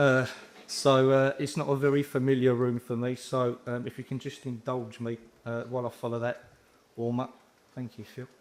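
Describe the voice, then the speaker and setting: A man with a London accent speaks at a medium pitch and moderate pace, with monotone, flat intonation. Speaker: housing repairs manager. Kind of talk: conference presentation.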